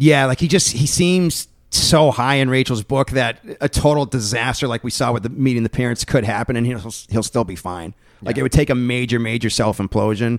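A man's ordinary speaking voice, medium in pitch, at a fairly quick pace with ordinary pitch variation. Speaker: podcast host. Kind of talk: casual chat.

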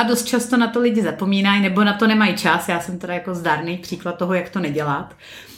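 A woman talks at a very fast pace, medium in pitch with ordinary pitch variation. Noticeable background noise runs underneath. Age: 30s. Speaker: podcast host. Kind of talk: casual interview.

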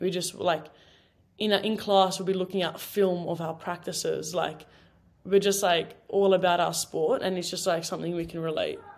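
In an Australian accent, a woman speaks at a medium pitch and a moderate pace. Her intonation is monotone and flat. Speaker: college footballer. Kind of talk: casual chat.

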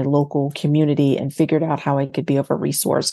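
A woman speaks at a very fast pace in an American accent. Her pitch is very deep and low, and her tone is dark and mellow. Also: quiet background. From North Carolina and New Jersey. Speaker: entrepreneur and consultant. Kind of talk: podcast interview. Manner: hesitant with fillers.

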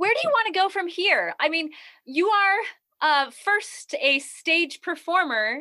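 A woman speaks in a raised, projected voice at an extremely high pitch, her tone bright and sharp. Her pitch swings very widely at a fairly slow pace while her loudness stays very even. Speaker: podcast host. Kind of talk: interview chat. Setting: video call.

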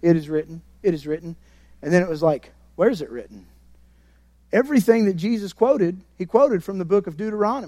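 A man with a high pitch and a dark, mellow tone talks very fast, with lively intonation and big swings in loudness. He leaves long, frequent pauses. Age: 30s. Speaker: guest preacher at a church. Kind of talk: sermon. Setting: church service with congregation. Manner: animated.

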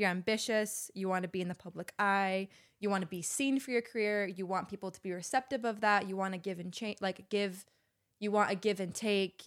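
A woman's unremarkable speaking voice with an American accent, medium pitch, fairly even intonation, and a fairly quick pace. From Utah, Salt Lake City. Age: 30s. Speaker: musician and astrology enthusiast. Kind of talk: casual chat.

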